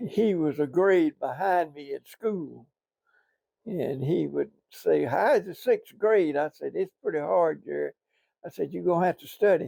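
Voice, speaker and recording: In a Southern US accent, a voice moves at a fairly slow pace with big swings in loudness, recorded with a dry, close sound and no echo. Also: man. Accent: Southern US (Georgia). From US South, southeast Georgia. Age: 80s+. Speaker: retired businessman. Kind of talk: oral history interview.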